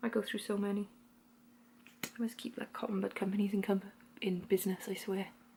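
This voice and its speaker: In a put-on character voice with fairly high pitch, the speaker mumbles at a fairly quick pace, broken by long, frequent pauses. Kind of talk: casual rambling. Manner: mumbling.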